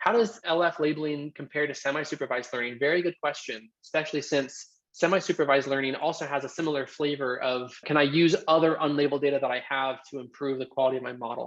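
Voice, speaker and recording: A man races along at a very fast pace with hardly any pauses. His pitch is fairly high and varies in an ordinary way. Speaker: tech company co-founder presenting a webinar. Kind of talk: live Q&A in a webinar. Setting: video call webinar.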